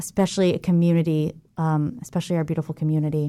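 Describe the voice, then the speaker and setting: The voice has a dark, mellow tone and an American accent. It moves at a very fast pace with fairly even intonation. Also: woman. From Jacksonville, Florida. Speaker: theater manager and lecturer. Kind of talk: casual interview. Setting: radio studio.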